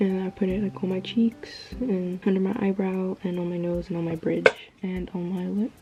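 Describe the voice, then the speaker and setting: Amid noticeable background noise, a woman speaks in a monotone, flat intonation at medium pitch and a moderate pace, with hardly any pauses. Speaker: beauty vlogger. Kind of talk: makeup tutorial chat.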